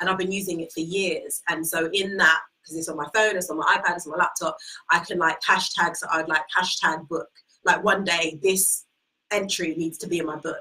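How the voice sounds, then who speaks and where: A woman at a fairly quick pace, with big swings in loudness and music in the background. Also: fairly low pitch for a woman. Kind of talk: live interview about her book. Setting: livestream from office. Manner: animated.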